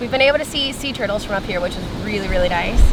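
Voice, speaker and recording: A woman with a high pitch speaks with lively intonation. Room echo is audible, and background noise is noticeable. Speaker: travel vlogger. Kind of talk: casual travel vlog. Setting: outdoors. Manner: loud.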